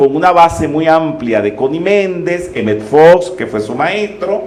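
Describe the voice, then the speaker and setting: Very slow speech with very wide pitch swings comes through audible room echo and noticeable background noise. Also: man. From Venezuela, Caracas. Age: 60s. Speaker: metaphysics teacher. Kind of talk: lecture.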